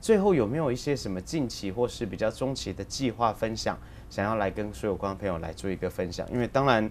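A man talks with lively intonation at a fairly quick pace. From Taiwan. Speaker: local TV talk show host; talk show host. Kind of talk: interview. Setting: studio. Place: studio. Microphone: lapel.

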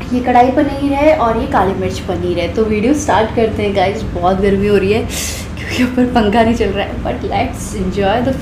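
A woman at a moderate pace with ordinary pitch variation, against noticeable background noise. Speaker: food vlogger. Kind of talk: casual vlog chat.

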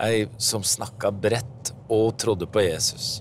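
At a very slow pace, a man with a fairly low pitch speaks in a somewhat breathy voice, the sound dry with no echo and light background noise. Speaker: TV host and interviewer. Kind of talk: interview questions. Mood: calm, reflective. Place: car. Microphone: lapel.

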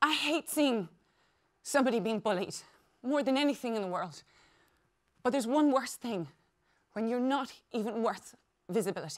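A woman's fairly high voice in an Irish accent, lively in intonation, at a moderate pace with long, frequent pauses, over a quiet background. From Ireland. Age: 40s. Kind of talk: conference keynote speech. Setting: stage with audience. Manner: animated. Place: stage.

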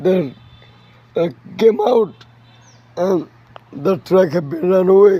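Slow and with lively intonation, a man speaks at a high pitch with a slightly husky edge.

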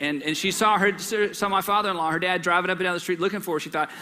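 Over light background noise, a man speaks very fast in a high pitch. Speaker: pastor. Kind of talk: sermon. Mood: warm, humorous. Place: church. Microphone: headset.

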